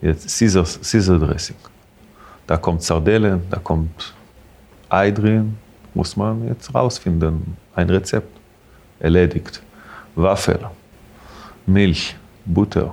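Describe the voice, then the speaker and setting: With an Israeli accent, a man speaks in a very deep, low pitch with ordinary pitch variation. His pace is very slow, with long, frequent pauses. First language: Hebrew (speaking German). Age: 40s. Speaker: restaurant owner. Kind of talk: interview. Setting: in a restaurant. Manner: halting.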